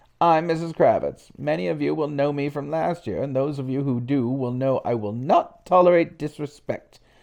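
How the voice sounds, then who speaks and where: A put-on character voice with a low-to-middle pitch runs at a moderate pace with hardly any pauses. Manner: stern, authoritative.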